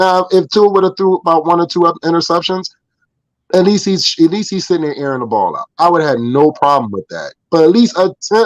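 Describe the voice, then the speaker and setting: The man speaks at a fairly quick pace, and the sound is dry and close with no echo. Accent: American. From northern US. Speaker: football fan guest on a fan show. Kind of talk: casual chat. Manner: animated.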